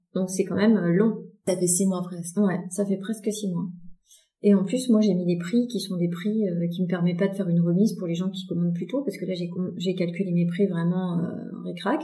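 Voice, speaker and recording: Medium-pitched, somewhat breathy woman's voice with a dark, mellow tone, fairly even intonation and a moderate pace. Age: 40s. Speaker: fashion designer and brand founder. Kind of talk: interview. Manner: hesitant, many fillers and repetitions.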